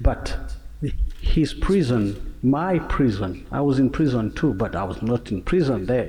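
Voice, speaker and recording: Speaking with a Rwandan accent, a man talks at a medium pitch. His pace is fairly slow and his intonation lively. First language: Kinyarwanda. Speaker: singer and genocide survivor. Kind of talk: panel discussion. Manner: halting.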